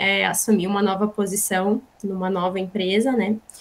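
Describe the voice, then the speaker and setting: A woman speaking at a fairly slow pace over noticeable background noise. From Rio Grande do Sul, Brazil (born in São Paulo, moved as small child). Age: 30s. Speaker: business manager, guest lecturer. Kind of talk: lecture.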